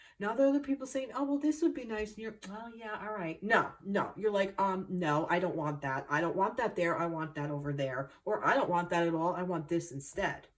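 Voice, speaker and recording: Noticeable noise sits behind a woman with a New Jersey accent. She speaks fairly quickly in an animated tone with very wide pitch swings. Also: medium pitch for a woman, hardly any pauses. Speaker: tarot reader. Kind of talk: spiritual reading monologue.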